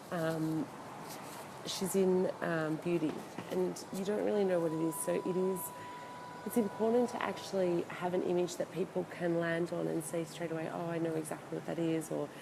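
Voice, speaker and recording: A woman talks quietly at a moderate pace, her fairly low voice carrying ordinary pitch variation over noticeable background noise. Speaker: e-commerce consultant. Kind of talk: casual live video talk. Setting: hotel, live video. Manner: hesitant, many fillers.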